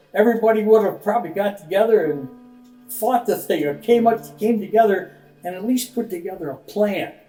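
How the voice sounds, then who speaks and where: Over music in the background, a man with an American accent speaks at a fairly quick pace in a high voice with ordinary pitch variation. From Michigan, US Midwest. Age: 80s+. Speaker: elderly interviewee, retired businessman. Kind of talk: interview testimony. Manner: halting, many fillers.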